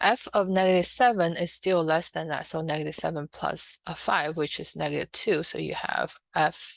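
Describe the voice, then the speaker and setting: Fairly low in pitch and marked by vocal fry, a woman speaks at a moderate pace with ordinary pitch variation and hardly any pauses. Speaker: math tutor. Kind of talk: online math lesson. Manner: hesitant, many fillers.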